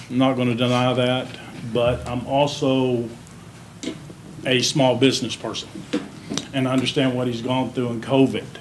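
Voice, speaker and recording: Speech comes at a moderate pace in a flat, monotone intonation, broken by long, frequent pauses. Audible room echo and noticeable background noise are present. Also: man, medium pitch for a man. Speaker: small business owner speaking at public comment. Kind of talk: public comment at city meeting. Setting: city council meeting. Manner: loud.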